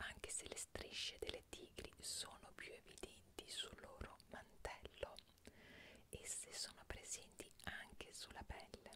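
A woman speaks at a very slow pace. Loud background noise surrounds her. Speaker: streamer reading trivia. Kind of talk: casual trivia reading. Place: home room.

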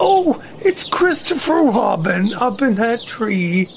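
A put-on character voice growls at a fairly high pitch with very wide pitch swings. The pace is fairly slow, and background noise is clearly audible. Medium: audio drama.

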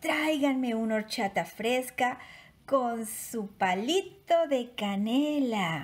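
A woman's high voice rises and falls in a sing-song, lively way. Her tone is warm and animated. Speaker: bilingual storyteller. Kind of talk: bedtime storytelling, bilingual read-aloud for children. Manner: warm, animated, sing-song children's storyteller; slow, clear, repeating lines in Spanish after English. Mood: warm, gentle, playful. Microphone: phone near.

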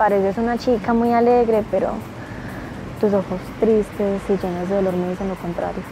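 A woman speaks at a moderate pace with fairly even intonation. The sound is dry with no echo, and music plays in the background. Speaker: actor in a short film. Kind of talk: scripted film dialogue. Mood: soft, tender, melancholic. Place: open country.

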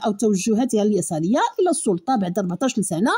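A woman with a Moroccan accent talks at a moderate pace in a fairly high pitch, her intonation lively. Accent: Moroccan Darija. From Morocco. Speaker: news commentary YouTuber. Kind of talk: news commentary. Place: home room. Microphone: studio mic.

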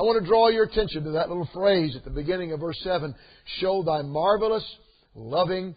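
The speaker is a man. The background is quiet. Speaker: preacher. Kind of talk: sermon. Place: church.

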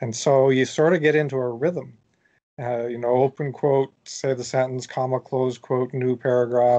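A man's dark, mellow voice at medium pitch, with a Canadian accent, monotone, flat intonation, a moderate pace and a quiet background. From Canada. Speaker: author; podcast guest. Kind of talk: interview. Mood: relaxed, explanatory. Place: home room.

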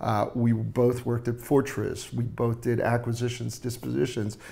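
A man with an American accent at a medium pitch and moderate pace, monotone and flat in intonation. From US West Coast. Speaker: startup co-founder; panelist. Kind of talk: roundtable interview. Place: office. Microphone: lapel.

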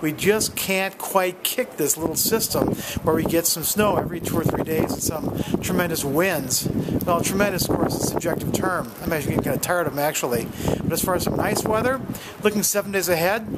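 Loud background noise accompanies a man speaking at a fairly quick pace with ordinary pitch variation. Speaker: amateur weather reporter. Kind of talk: casual vlog weather update. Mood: wry, friendly. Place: street. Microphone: phone near.

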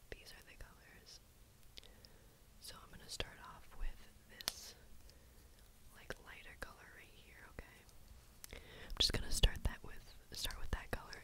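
A woman whispers at a fairly slow pace, leaving long, frequent pauses. Her loudness swings a lot. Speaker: ASMR makeup creator. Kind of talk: ASMR makeup tutorial. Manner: whispered. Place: home room.

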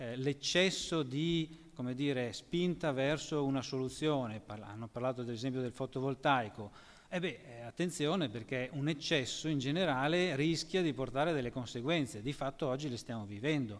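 Moving at a moderate pace, a man speaks at medium pitch with ordinary pitch variation. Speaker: research and innovation manager; panelist. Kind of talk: panel discussion. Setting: stage with audience. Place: hall. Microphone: podium.

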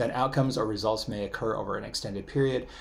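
A man's somewhat breathy voice at a medium pitch, with ordinary pitch variation and a very fast pace. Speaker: university lecturer. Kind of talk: lecture. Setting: recorded online class video.

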